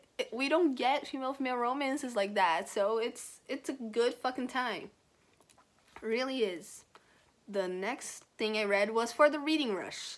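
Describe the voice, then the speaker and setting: Speaking at a moderate pace, a woman with a non-native accent has a high pitch and ordinary pitch variation. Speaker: book reviewer. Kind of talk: casual talk to camera.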